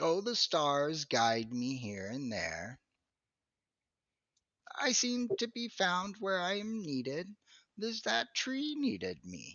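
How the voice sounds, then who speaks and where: A man's put-on character voice, high-pitched, at a fairly slow pace with long, frequent pauses. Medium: actual play. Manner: rambling, absent-minded.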